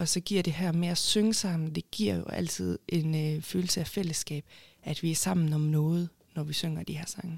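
A woman speaks at a moderate pace in a fairly low, somewhat breathy voice with fairly even intonation. The sound is dry and close, with no echo. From Denmark, Haderslev (Southern Jutland). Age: 20s. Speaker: urban planner and award winner. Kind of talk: interview.

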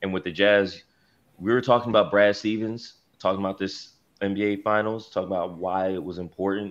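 With an American accent, a man has a plain, everyday voice, fairly low in pitch, speaking at a moderate pace with fairly even intonation over a quiet background. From Philadelphia. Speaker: sports journalist. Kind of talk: casual chat. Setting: video call.

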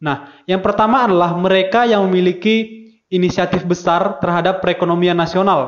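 This man has a high pitch and a fairly quick pace. His loudness is very even and his intonation fairly even. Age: 20s. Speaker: university student. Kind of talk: student discussion podcast. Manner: hesitant with many fillers.

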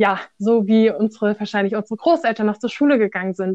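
Her voice is an ordinary speaking voice, a woman's at medium pitch, with fairly even intonation. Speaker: volunteer with refugees. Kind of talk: casual interview.

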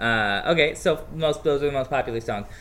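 An ordinary speaking voice from a man with an American accent, moderate pace and ordinary pitch variation. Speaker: podcast guest. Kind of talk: casual chat.

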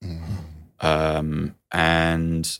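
A man is speaking here. His pitch is very deep and low. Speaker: podcast host. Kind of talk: round-table discussion.

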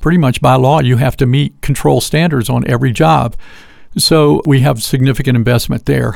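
A man speaks at a moderate pace in a normal speaking voice, pitched medium with ordinary pitch variation. His loudness stays very even throughout. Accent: American. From US South, Georgia. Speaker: lighting sales representative. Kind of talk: interview.

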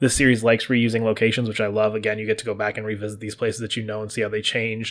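The recording is very clean and the background silent. A man does the talking. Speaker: gaming podcast host. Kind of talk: solo spoiler discussion. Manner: fast.

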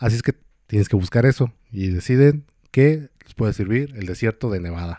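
Dry and close with no echo, a man's medium-pitched voice has a dark, mellow tone and big swings in loudness. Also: ordinary pitch variation, moderate pace. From Mexico, Michoacán. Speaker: podcast co-host. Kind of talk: casual storytelling chat. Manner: hesitant, many fillers.

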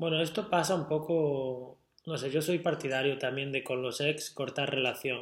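A man speaks at a moderate pace in an ordinary speaking voice, his pitch fairly high and his intonation fairly even. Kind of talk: casual chat.

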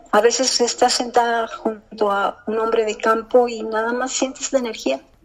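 Against noticeable background noise, a woman talks in a fairly high pitch with fairly even intonation. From US Midwest and South (Kansas City, Memphis). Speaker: poet. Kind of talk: interview; poetry reading.

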